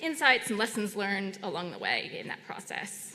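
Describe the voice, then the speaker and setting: Audible room echo surrounds a woman talking at a moderate pace. Her intonation is lively. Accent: American. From United States. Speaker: session chair. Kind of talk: conference moderation. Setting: conference room with audience. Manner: hesitant, many fillers.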